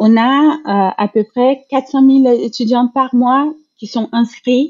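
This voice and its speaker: A woman with a Brazilian accent talks at a very slow pace, her intonation fairly even. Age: 40s. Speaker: HR director. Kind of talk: interview, casual chat. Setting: video call.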